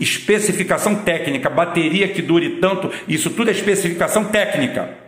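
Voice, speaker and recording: Over noticeable background noise and audible room echo, a man speaks at a moderate pace in a high pitch with an animated tone and ordinary pitch variation. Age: old. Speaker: political commentator. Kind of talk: political commentary monologue.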